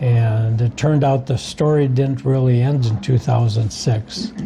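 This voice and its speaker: At a fairly slow pace, a man with an American accent and a medium pitch speaks with fairly even intonation against noticeable background noise. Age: 70s. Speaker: war veteran and author. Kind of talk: interview. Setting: coffee shop.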